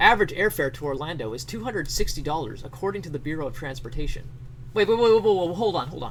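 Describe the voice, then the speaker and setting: Very fast speech from a man with fairly high pitch, very wide pitch swings and big swings in loudness, amid noticeable background noise. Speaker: streamer. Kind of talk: comedic dramatic reading of an article.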